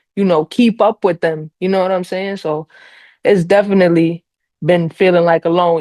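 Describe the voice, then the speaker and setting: A woman with a New York accent, dry and close with no echo. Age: 30s. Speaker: podcast guest, iron worker. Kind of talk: casual interview chat.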